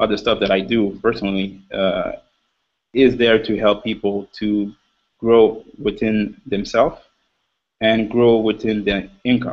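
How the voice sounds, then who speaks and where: A man speaks at a fairly slow pace in a Quebec accent with monotone, flat intonation. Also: fairly low pitch for a man. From Quebec, Montreal. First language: French. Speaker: panelist on motivational web show. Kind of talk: panel discussion. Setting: video call. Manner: halting.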